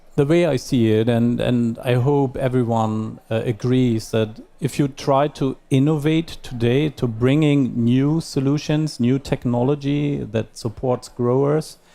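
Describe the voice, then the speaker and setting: With music in the background, a man at medium pitch speaks fairly slowly with hardly any pauses. His intonation is fairly even and his loudness very even. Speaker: agribusiness executive. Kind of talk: panel discussion. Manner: halting, many fillers.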